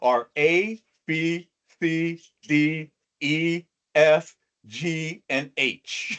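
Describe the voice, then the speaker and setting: This is a man speaking in a fairly high pitch. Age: 60s. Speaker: motivational speaker. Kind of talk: talk to an online audience.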